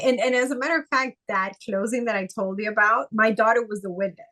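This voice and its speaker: A woman with a Spanish accent, fairly high-pitched, bright and sharp in tone, with ordinary pitch variation and a fairly quick pace. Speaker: notary. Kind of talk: casual chat.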